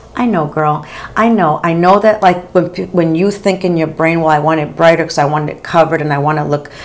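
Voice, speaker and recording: A woman with an unremarkable speaking voice talks at a fairly quick pace. Her pitch is fairly low and her intonation fairly even. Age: 50s. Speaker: beauty vlogger. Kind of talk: casual chat. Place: home room.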